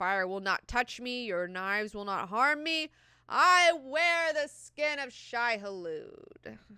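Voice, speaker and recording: A put-on character voice, female-sounding, high-pitched, with very wide pitch swings at a fairly slow pace. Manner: menacing, defiant.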